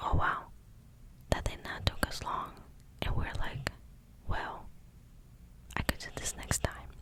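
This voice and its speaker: A woman whispers with long, frequent pauses and big swings in loudness over noticeable background noise. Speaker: ASMR creator. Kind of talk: ASMR affirmations, talk to camera. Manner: whispered; soft-spoken.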